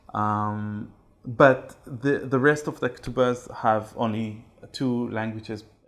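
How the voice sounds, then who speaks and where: Delivery is very slow. The intonation changes only a little, staying fairly even. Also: man, medium pitch for a man. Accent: Israeli. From Israel. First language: Hebrew. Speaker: typographer and ketubah artist. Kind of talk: interview. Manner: halting, many fillers.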